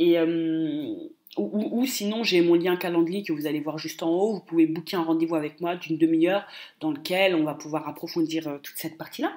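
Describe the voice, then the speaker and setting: Speaking at a fairly quick pace, a woman has a dark, mellow tone and ordinary pitch variation. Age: 20s. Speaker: business coach. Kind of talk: solo podcast monologue. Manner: hesitant, frequent repetitions; animated.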